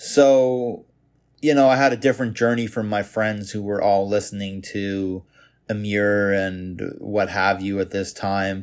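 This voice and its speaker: A plain, everyday voice from a man with a Canadian accent, fairly low and fairly slow, with fairly even intonation, on a very clean recording with a silent background. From Canada, Toronto suburbs. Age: 30s. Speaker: podcast host. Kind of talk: solo monologue podcast. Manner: casual.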